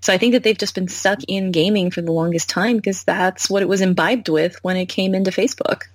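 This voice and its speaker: Talking at a very fast pace with hardly any pauses, a woman at medium pitch sounds somewhat breathy, her intonation fairly even. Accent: American. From United States. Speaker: founder and CEO of a VR company. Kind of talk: casual interview.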